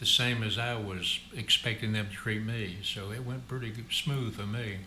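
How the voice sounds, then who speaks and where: Over noticeable background noise, a man with a Southern US accent speaks at medium pitch and a moderate pace with fairly even intonation. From Memphis, Tennessee. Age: 80s+. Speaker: retired trucking company executive. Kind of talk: interview answer.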